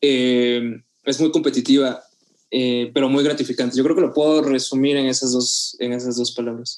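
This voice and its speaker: At a moderate pace and medium pitch, a man talks with monotone, flat intonation. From Mexico, Oaxaca. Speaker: photographer and videographer. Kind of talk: casual interview.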